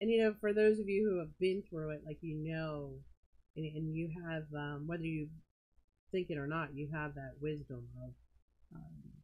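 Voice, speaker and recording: The speaker is soft-spoken, at a moderate pace. Long pauses come often. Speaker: live-stream pearl seller. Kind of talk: casual live-stream chat. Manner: soft-spoken, quiet.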